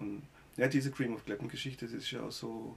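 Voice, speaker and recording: This man talks at a fairly quick clip in a medium pitch, with vocal fry in his voice. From Germany, Baden (Gernsbach). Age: 50s. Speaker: musician. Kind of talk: casual interview.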